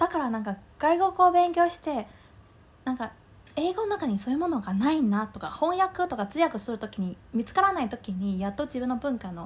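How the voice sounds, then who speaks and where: A woman's high voice at a fairly quick pace, with very wide pitch swings. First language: Mandarin Chinese (speaking Japanese). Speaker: podcast co-host. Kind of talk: casual chat.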